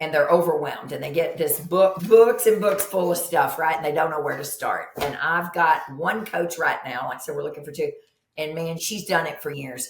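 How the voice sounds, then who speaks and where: An animated woman in a Kentucky accent, fairly low in pitch, with ordinary pitch variation, big swings in loudness and audible room echo. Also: moderate pace. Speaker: nurse practitioner. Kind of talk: podcast interview.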